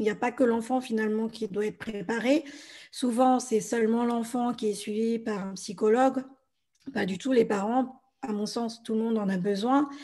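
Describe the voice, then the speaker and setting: Speaking at a fairly slow pace, a woman uses a somewhat breathy, dark, mellow tone at a fairly high pitch with fairly even intonation. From France. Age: 30s. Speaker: blogger and podcaster. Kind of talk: interview.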